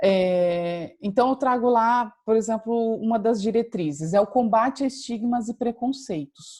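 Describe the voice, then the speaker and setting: The speech runs at a fairly slow pace with hardly any pauses and ordinary pitch variation. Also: woman, fairly high pitch for a woman. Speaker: university lecturer. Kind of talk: lecture. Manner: hesitant, many fillers.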